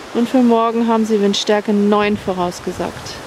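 Delivered at a fairly slow pace, the speech has a dry sound with no echo against noticeable background noise. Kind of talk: casual vlog chat. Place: waterside. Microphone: phone near.

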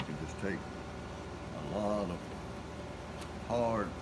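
A man talks with an American accent. Loud background noise is present. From Tangier Island, Virginia. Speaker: watercolor painter and art teacher. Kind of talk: painting class demonstration. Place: classroom. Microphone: phone near.

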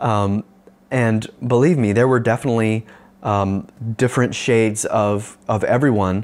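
Speaking with an American accent, a man keeps a moderate pace. His loudness is very even, and his intonation is fairly even. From Northern California, US. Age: young. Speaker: pastor. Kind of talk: video sermon talk. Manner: casual, with many fillers. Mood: earnest, reflective. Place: home room. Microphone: lapel.

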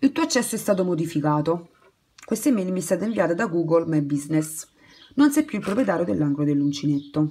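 Talking at a very fast pace, a woman uses lively intonation at a fairly low pitch. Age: 20s. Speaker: crochet YouTuber. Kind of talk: casual vlog monologue. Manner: halting, many fillers and restarts.

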